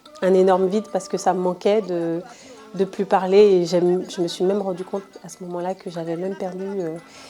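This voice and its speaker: Music plays in the background as a woman with an Ivorian accent speaks fairly quickly at a medium pitch, her intonation monotone and flat. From Ivory Coast, south (Baoulé village). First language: Baoulé (speaking French). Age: 20s. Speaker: entrepreneur, interviewee. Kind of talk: interview testimony. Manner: hesitant, many fillers.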